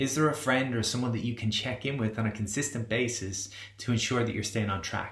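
Very fast speech comes from a man with fairly even intonation. Room echo is audible. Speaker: wellbeing coach. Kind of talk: motivational talk to camera. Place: home room. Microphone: webcam.

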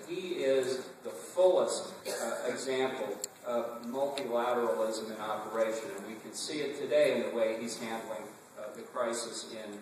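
A man speaks at a moderate pace with big swings in loudness. The room echo is strong, and there is light background noise. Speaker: conference speaker. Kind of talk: political speech. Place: hall. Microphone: camera far.

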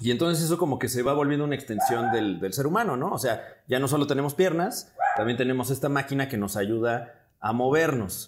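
Talking at a fairly quick pace, a man with a Mexican accent shows ordinary pitch variation. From Mexico. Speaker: comedian and scriptwriter; podcast guest. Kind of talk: casual chat. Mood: relaxed, reflective. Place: studio. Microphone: lapel.

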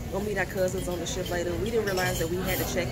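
A woman's voice over loud background noise. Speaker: travel vlogger. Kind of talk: casual vlog chat. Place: cafe. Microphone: phone near.

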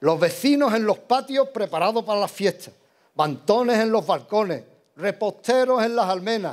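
Over a quiet background, a man speaks with a high pitch at a moderate pace. His pitch variation is ordinary. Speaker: pregonero giving a religious devotional proclamation. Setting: stage with audience in church or hall. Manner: declamatory, rhythmic and emotive, with ceremonial fervour. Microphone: podium.

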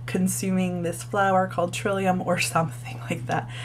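A woman speaks quietly. Noticeable background noise runs beneath her voice. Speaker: book reviewer. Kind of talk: casual talk to camera.

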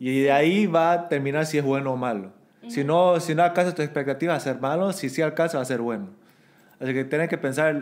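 This man's intonation is lively. He gets his words out at a very fast pace. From Bolivia. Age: 30s. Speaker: podcast guest. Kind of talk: casual chat. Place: home room. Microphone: studio mic.

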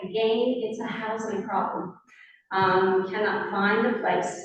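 In a room with audible echo, a woman speaks at a medium pitch. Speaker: school board official presenting to council. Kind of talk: council meeting presentation. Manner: halting, many fillers.

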